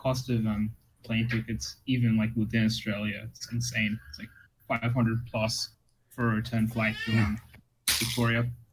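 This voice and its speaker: This man's voice is somewhat breathy and delivered in a flat monotone. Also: medium pitch for a man, moderate pace. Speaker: keyboard hobbyist. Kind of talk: casual chat. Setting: online voice chat.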